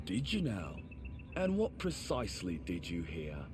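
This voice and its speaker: Over loud background noise, a gruff, put-on character voice speaks at a moderate pace. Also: man, very deep, low pitch for a man. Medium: video game. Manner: gruff, suspicious, officious.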